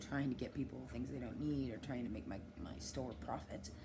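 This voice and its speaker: A woman speaks in a very deep, low voice with vocal fry and very wide pitch swings. Room echo is audible. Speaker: vlogger and dispensary worker. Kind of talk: personal vlog monologue. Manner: fast; halting.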